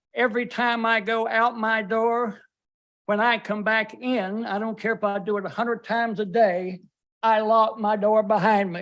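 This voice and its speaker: A man with a North Carolina accent speaks at a high pitch and a moderate pace. His intonation is monotone and flat. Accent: US South, North Carolina. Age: 70s. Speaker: resident at public comment, retired drug officer. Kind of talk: public comment at county meeting. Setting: county board meeting room.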